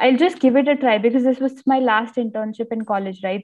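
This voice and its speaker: This woman's intonation stays fairly even. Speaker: interview guest. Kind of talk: interview answer. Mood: friendly, smiling.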